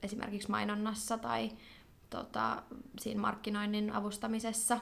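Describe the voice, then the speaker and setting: Speaking at a fairly slow pace, a woman uses lively intonation, with a bright, sharp tone and vocal fry. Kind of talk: casual interview. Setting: studio.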